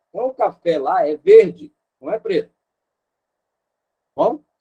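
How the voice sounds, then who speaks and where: The voice has a dark, mellow tone and very wide pitch swings, recorded dry and close with no echo. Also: man. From Rio de Janeiro, Brazil. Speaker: missionary teacher. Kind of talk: online lecture.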